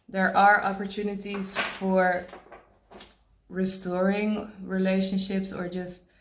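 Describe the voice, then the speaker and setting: In a room with audible echo, a woman of medium pitch speaks very slowly in a monotone, flat delivery. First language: not English. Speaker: tarot reader. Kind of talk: tarot card reading. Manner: halting, pauses to search for words; casual, conversational.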